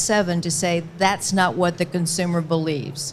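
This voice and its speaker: A woman speaks at a fairly quick pace with an American accent. Her pitch sits in the medium range and her intonation stays fairly even. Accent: Southern, shows when tired. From US South. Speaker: grass-fed certification leader. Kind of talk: panel discussion. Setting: live event pavilion.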